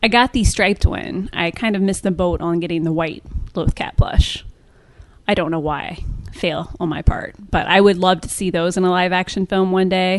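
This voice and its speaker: A woman speaks in a plain, everyday voice with an American accent at medium pitch. Her pace is moderate and her intonation fairly even. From US Midwest, rural Ohio. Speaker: entertainment writer and podcaster. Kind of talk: casual interview.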